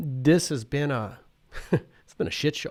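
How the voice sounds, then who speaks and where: The speaker has a Canadian Prairie accent and ordinary pitch variation. The recording is very clean, with a silent background. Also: man. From Saskatchewan, Canada. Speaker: professor. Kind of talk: casual chat. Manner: halting.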